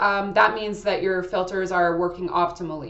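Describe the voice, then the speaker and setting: Audible room echo and noticeable background noise fill the recording. A woman does the talking. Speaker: astrology channel creator giving personal product review. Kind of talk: casual personal review monologue. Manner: loud; hesitant, with fillers and restarts.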